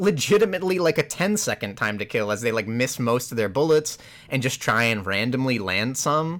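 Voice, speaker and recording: A man's plain, everyday voice at a moderate pace, with lively intonation. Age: 20s. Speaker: video game podcast co-host. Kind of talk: casual chat.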